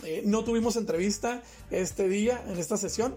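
An animated tone at a moderate pace, with noticeable background noise. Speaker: podcast host. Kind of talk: casual chat. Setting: studio.

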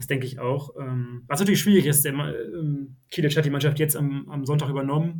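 A man speaks quite fast in a fairly high, somewhat breathy voice. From Oldenburg, northern Germany. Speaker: football fan guest. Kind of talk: casual podcast interview.

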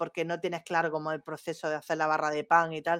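A woman's very fast speech in an Andalusian accent, fairly low in pitch, on a very clean recording with a silent background. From Andalusia, Spain. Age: young. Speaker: marketing professional. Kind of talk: casual chat.

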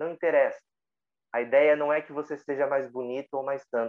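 A man has a normal speaking voice, with fairly high pitch, fairly even intonation and a moderate pace. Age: 30s. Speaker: meditation teacher. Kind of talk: casual chat.

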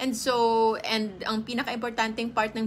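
Speaking at a fairly slow pace, a woman has an ordinary speaking voice, fairly high in pitch. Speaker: health and nutrition livestreamer. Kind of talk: casual livestream talk. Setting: home, live stream.

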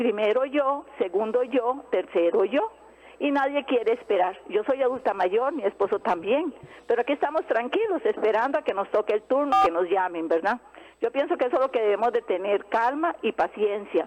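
A woman talks at a moderate pace, her high pitch making very wide swings. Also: very even loudness. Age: old. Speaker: caller, homemaker. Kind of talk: phone-in call.

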